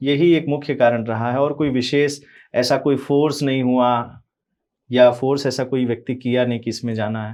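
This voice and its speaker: Against a quiet background, a man speaks at medium pitch with monotone, flat intonation. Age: young. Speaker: religious preacher. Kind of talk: interview.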